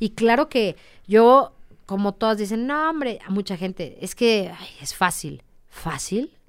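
In a very clean recording with a silent background, an unremarkable speaking voice moves at a fairly slow pace with lively intonation and big swings in loudness. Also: woman, fairly high pitch for a woman. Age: 30s. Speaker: motorcycle racer. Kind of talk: interview.

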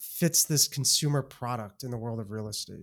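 The recording is very clean with a silent background, carrying a man with a plain, everyday voice. He talks at a moderate pace and a medium pitch. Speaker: podcast host. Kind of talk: casual interview.

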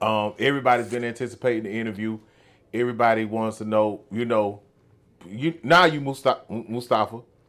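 A man talks in an ordinary speaking voice. His pitch is medium. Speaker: podcast host. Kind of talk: casual interview. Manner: laughs often.

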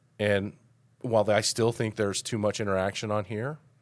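With an American accent, a man talks at a moderate pace in a normal speaking voice, his pitch fairly low, on a very clean recording with a silent background. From Colorado, Denver area. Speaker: mayor. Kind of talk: casual interview.

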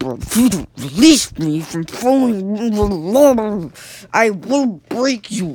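Very slow, fairly high-pitched put-on character voice. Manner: irritated, defiant.

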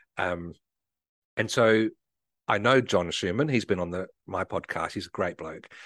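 A man with an Australian accent speaks at a fairly low pitch with ordinary pitch variation, in a dry, close sound with no echo against a quiet background. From South Australia, Adelaide. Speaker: marketing consultant and podcaster. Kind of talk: casual chat.

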